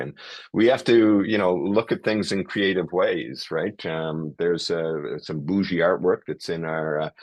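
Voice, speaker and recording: In a dry, close sound with no echo and a quiet background, a man speaks at a moderate pace with a very deep, low pitch. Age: 60s. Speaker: emergency physician and airway educator. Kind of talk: lecture. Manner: hesitant, many fillers.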